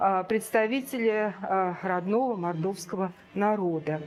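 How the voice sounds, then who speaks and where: A woman's medium-pitched voice, ordinary pitch variation and a fairly slow pace. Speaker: art historian. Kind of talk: museum art lecture. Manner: hesitant, many filler sounds.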